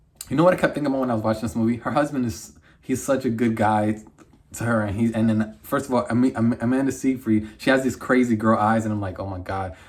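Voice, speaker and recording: Amid noticeable background noise, a man talks at a very fast pace in a medium pitch. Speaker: movie reviewer. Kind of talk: casual review monologue. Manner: animated.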